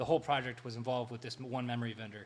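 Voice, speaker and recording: Room echo is audible as a man speaks at medium pitch. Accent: American. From Pennsylvania, Bucks County (Newtown). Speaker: laptop company representative on livestream. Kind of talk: live stream chat. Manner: fast.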